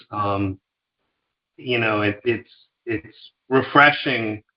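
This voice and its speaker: With an American accent, a man speaks at a very slow pace with fairly even intonation. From US Northeast, New York suburbs. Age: 50s. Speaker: food company founder. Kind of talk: interview.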